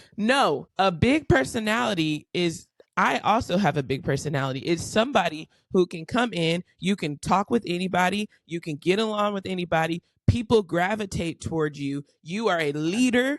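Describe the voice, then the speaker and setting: The speech moves at a moderate pace with lively intonation. The sound is dry and close, with no echo. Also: woman, fairly low pitch for a woman. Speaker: podcast co-host. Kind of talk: casual chat. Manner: loud, boisterous.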